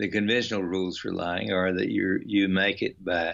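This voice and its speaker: A man with an American accent, fairly low in pitch, with monotone, flat intonation at a moderate pace. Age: 70s. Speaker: author and workshop leader. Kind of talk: interview.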